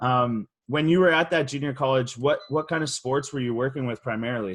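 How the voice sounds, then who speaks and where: A man speaks at a medium pitch with a Canadian accent and a normal speaking voice. His pace is fairly quick, with ordinary pitch variation. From Canada. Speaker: podcast host. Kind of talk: podcast interview. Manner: casual, repeats words.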